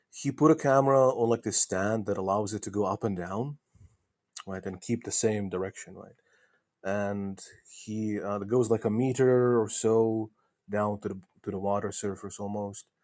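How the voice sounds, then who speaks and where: Speaking at a moderate pace with a non-native accent, a man uses a fairly low pitch and fairly even intonation on a very clean recording with a silent background. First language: not English. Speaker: globe earth debater. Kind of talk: debate. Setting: voice chat on a discord server. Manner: halting.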